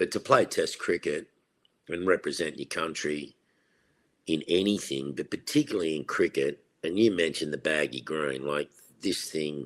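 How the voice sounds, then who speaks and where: Speaking at a moderate pace, a man talks in an Australian accent. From Australia, Sydney. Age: 60s. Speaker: retired test cricketer. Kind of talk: interview.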